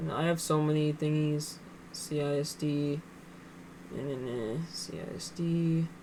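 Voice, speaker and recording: Mumbling at a fairly slow pace, a woman speaks with a very deep, low pitch and a dark, mellow tone. Audible room echo surrounds her voice. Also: ordinary pitch variation. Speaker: day trader streaming live trades. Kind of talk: live trading commentary. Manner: casual, halting with fillers; mumbling to herself.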